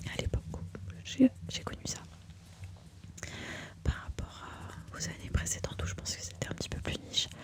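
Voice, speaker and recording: Whispering with long, frequent pauses, a woman is heard over noticeable background noise. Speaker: ASMR creator and makeup enthusiast. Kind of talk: casual talk to camera, ASMR introduction. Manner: soft, close-mic whisper.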